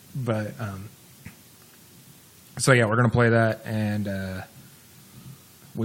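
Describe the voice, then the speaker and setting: A man mumbles his words at a moderate pace. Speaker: radio talk show co-host. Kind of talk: casual chat. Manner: mumbling.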